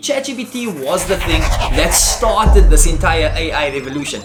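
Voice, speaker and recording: A man speaks in an animated tone. Room echo is audible, and the background noise is noticeable. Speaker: tech YouTuber. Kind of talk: tutorial. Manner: fast.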